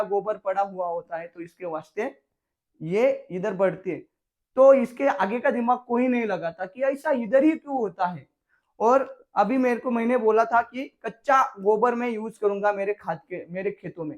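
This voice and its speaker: With a Marathi accent, a man speaks at an extremely high pitch, his pitch varying in an ordinary way while his loudness swings widely. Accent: Marathi-accented Hindi. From Maharashtra, Jalgaon. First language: Marathi (speaking Hindi). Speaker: farmer. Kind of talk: farming tutorial video. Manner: casual, conversational.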